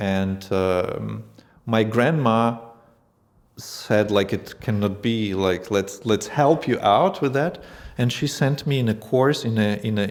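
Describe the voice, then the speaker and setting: Very slowly, a man with a Russian accent speaks at a fairly low pitch with ordinary pitch variation. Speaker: language school founder. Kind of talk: casual interview. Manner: halting.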